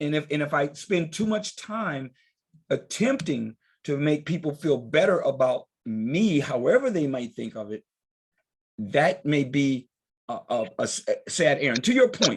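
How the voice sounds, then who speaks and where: Moving at a fairly slow pace, a man with a fairly high pitch makes very wide pitch swings. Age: 60s. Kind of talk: group discussion. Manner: animated.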